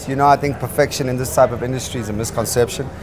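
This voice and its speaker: Fairly even intonation over clear background music. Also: man. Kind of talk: interview answer. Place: cafe. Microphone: lapel.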